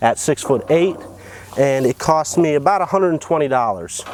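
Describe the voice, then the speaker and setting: With an American accent and ordinary pitch variation, the voice comes through noticeable background noise. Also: man. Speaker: DIY tiny house builder. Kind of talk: tutorial.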